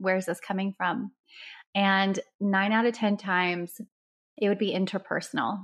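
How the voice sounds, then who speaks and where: A woman's medium-pitched, somewhat breathy voice with an American accent, at a moderate pace, with fairly even intonation and very even loudness, against a quiet background. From Dubai and Istanbul, American mother. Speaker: holistic doctor and relationship coach. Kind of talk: interview podcast.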